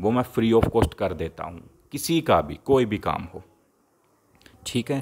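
The pitch swings very widely. Long pauses come often. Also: man, medium pitch for a man. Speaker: occult practitioner selling amulets. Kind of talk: sales pitch.

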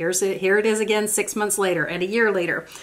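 Speaking very fast, a woman talks with an American accent. Her pitch variation is ordinary. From United States. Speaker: beauty YouTuber. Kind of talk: tutorial. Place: home room.

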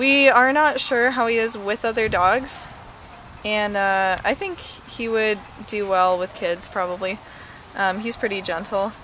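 A woman speaks at a fairly slow pace with ordinary pitch variation. The sound is dry with no echo, over light background noise. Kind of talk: pet adoption description. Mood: warm, friendly. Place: garden. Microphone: camera far.

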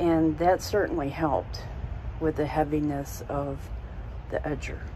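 Noticeable background noise accompanies a woman who talks at a very slow pace. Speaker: product reviewer. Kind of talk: casual talk to camera. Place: street. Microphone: phone near.

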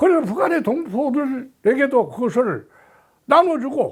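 His voice sits extremely high for a man. The pitch rises and falls very widely. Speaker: political commentator, honorary chairman of an association. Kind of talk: spoken column, monologue to camera. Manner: filler-heavy, repetitive phrasing.

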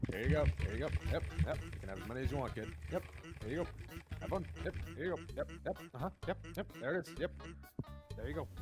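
Using a put-on character voice, a man talks at a very fast pace with long, frequent pauses. Music plays clearly behind him. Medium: game stream. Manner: laid-back, lazy, deadpan.

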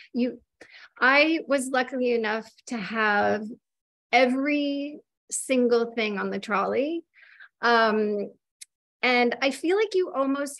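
A woman with an American accent speaks at a very slow pace and a high pitch, with ordinary pitch variation. The background is quiet. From Minnesota, US. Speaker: cookbook author and baker; interviewer. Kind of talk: casual interview chat. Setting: video call. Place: kitchen. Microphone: video call.

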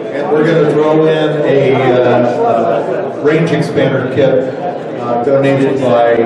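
Loud background noise and audible room echo surround a man speaking at a fairly slow pace. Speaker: event announcer. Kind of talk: prize drawing announcements. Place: hall.

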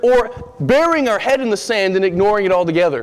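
The speaker is male. He keeps a moderate pace. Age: 30s. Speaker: preacher. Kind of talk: sermon. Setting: church. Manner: animated. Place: church. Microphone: podium.

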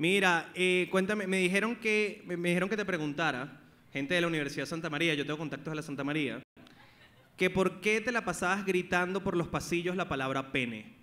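With a Venezuelan accent and an animated tone, a man talks at a fairly quick pace in a high pitch with ordinary pitch variation. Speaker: podcast host. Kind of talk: live comedy talk show with audience. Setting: live venue with audience. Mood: joking, playful banter. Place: stage. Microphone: handheld.

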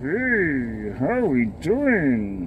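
A cartoonish character voice leaps through very wide pitch swings. Clear background noise sits behind it. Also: man. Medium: puppet. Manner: cheeky, wisecracking.

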